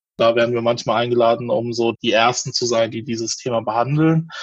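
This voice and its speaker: A man speaks at a moderate pace with a medium pitch. His voice is somewhat breathy, with fairly even intonation. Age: 30s. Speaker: sex educator and pregnancy counselor. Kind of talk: interview.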